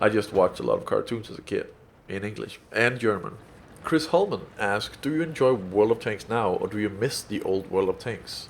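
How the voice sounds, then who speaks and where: A man speaks with a Danish accent. His pace is fairly quick. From Denmark. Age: 20s. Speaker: gaming YouTuber. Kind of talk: Q&A video commentary. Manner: casual, many filler ums.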